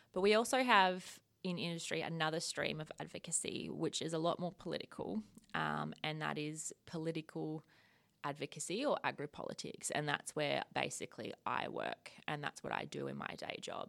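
A woman with an Australian accent speaks at a moderate pace on a very clean recording with a silent background. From rural Victoria, Australia. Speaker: agricultural policy manager. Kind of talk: casual interview.

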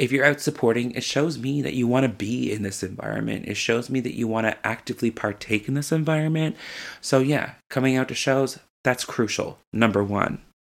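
A man with a medium-pitched voice talks at a fairly quick pace in an animated tone, his pitch varying in an ordinary way. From Newfoundland, Canada. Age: 20s. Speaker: drag queen podcast host. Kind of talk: casual solo podcast monologue.

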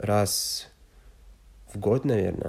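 A man speaks with a French accent in a dark, mellow tone and a fairly low pitch. His intonation stays fairly even, and his voice is somewhat breathy. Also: very clean recording, silent background. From France, Loire valley. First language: French (speaking Russian). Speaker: exchange student. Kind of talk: interview. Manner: halting, many fillers.

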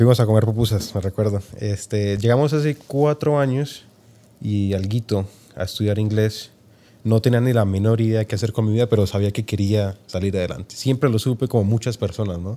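Over a silent background on a very clean recording, the voice has a dark, mellow tone, ordinary pitch variation and a fairly quick pace. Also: man, fairly low pitch for a man. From Colombia, Tocancipá near Bogotá. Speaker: entrepreneur. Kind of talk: interview.

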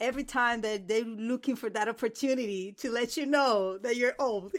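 In a very clean recording with a silent background, a woman speaks with a Spanish accent at a fairly high pitch, ordinary pitch variation and a moderate pace. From Dominican Republic. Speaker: PhD student in religion. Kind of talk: casual academic discussion.

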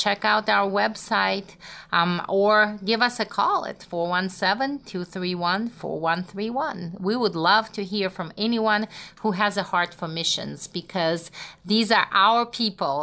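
A woman's very slow speech in a Russian accent, bright and sharp in tone. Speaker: missions organization co-founder. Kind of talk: interview.

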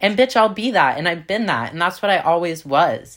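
A woman speaks with lively intonation. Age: 20s. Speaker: podcast host. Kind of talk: casual solo chat, vulgar. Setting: home recording. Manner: casual, profane, sassy.

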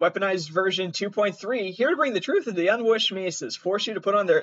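Here is reading aloud in a natural voice. The delivery holds throughout.

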